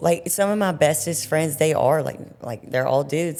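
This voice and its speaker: A woman with an American accent, very deep, low pitch and a dark, mellow tone, at a moderate pace. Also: very clean recording, silent background. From US South, Mississippi. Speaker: Marine drill instructor. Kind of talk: casual chat. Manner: halting.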